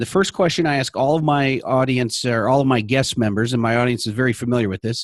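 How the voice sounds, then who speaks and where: With hardly any pauses, a man rattles along at a very fast pace in an animated tone and a medium pitch. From Illinois, Naperville (Chicago area). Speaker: sales coach and podcast host. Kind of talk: interview podcast.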